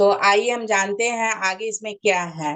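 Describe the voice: A woman speaks at a fairly slow pace. Her pitch sits in the medium range.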